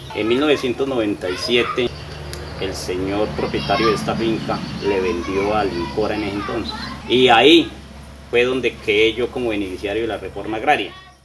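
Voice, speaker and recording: A man with a fairly low pitch speaks at a moderate pace with ordinary pitch variation, over noticeable background noise. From Colombia, Meta (Fuente de Oro). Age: 30s. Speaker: farmer. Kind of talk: interview testimony.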